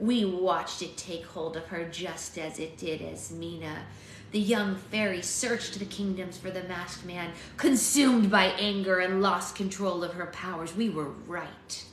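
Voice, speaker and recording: A woman puts on a character voice, growling and raspy with a menacing tone at medium pitch. She goes at a moderate pace, with a slight echo around her. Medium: read story. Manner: growling, menacing.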